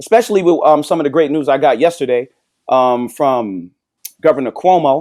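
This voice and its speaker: With an American accent, a man talks at a moderate pace in a fairly high pitch, using lively intonation and very even loudness. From New York. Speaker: podcast co-host. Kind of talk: mock prayer with scripture reading; casual chat. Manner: animated.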